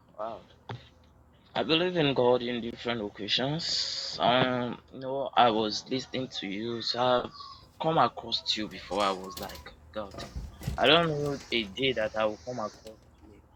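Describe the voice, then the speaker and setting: Speaking at a fairly slow pace with a Nigerian accent, this voice shows ordinary pitch variation and big swings in loudness against noticeable background noise. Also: man, medium pitch for a man. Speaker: caller. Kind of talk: casual chat.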